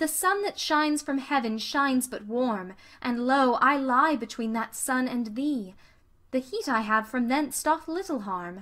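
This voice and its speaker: Speaking fairly slowly at a high pitch, a woman uses a bright, sharp, dramatic tone and lively intonation in a very clean recording with a silent background. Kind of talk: poem reading aloud. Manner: dramatic, impassioned delivery, voicing Venus pleading.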